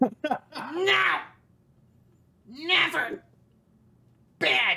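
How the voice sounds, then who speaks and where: A put-on character voice speaks at a high pitch. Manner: possessive, shrieking.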